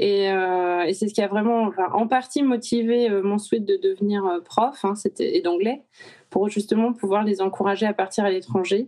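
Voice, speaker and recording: A woman's medium-pitched voice at a moderate pace, with very even loudness and fairly even intonation. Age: 40s. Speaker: teacher. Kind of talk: interview. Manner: hesitant.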